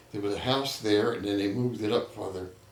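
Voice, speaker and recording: A man with a New Jersey accent talks with ordinary pitch variation amid audible room echo. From Trenton, New Jersey. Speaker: local elder interviewee. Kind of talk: oral history interview. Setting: neighbor's home.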